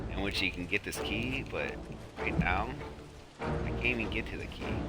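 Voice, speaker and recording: Music plays in the background as a man speaks at a moderate pace in a calm, relaxed tone. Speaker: gamer and parent who makes sleep gameplay videos. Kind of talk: casual gameplay commentary. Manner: calm, relaxed, low-key.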